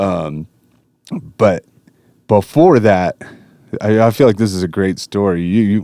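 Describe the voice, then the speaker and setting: A man speaks with an American accent in a fairly low pitch, with ordinary pitch variation and a dark, mellow tone. The sound is dry and close with no echo, and he goes at a fairly slow pace with long, frequent pauses. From Colorado. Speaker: professional fighter. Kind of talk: casual chat. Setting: studio.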